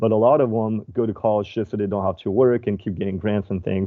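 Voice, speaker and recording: A man talks at a very fast pace. His medium-pitched voice shows ordinary pitch variation. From southern France. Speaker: finance broker. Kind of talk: podcast interview. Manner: hesitant with fillers.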